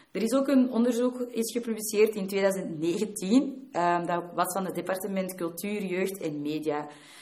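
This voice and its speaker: A woman speaks with lively intonation. Background noise is noticeable. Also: medium pitch for a woman, fairly slow pace. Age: 20s. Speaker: student and youth work volunteer. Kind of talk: keynote talk.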